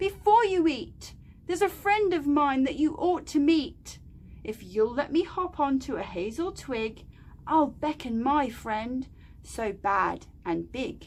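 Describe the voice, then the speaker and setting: A put-on character voice, high in pitch and raised and projected, sounds over clear background noise. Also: fairly slow pace. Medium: read story.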